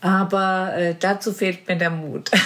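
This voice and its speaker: Against noticeable background noise, a woman speaks at a very slow pace. Her intonation is flat and monotone. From Marburg, Hesse, Germany. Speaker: charity chairwoman. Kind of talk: casual interview.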